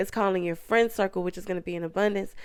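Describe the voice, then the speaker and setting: On a very clean recording with a silent background, a woman speaks. Her pitch is medium, with ordinary pitch variation. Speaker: podcast host. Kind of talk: motivational pep talk; casual chat. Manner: animated; stuttering.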